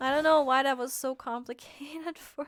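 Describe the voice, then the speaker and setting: A woman speaks in a high pitch. Her voice is raised and projected. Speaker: VTuber streamer. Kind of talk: casual livestream chat while gaming. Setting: livestream. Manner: stammering, repeats words.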